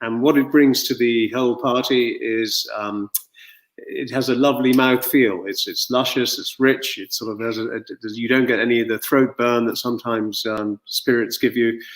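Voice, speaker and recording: A man speaks at medium pitch and a moderate pace. His intonation stays monotone and flat. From Ireland, County Cork. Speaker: gin distillery founder. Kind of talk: interview. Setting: video call. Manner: hesitant, many fillers.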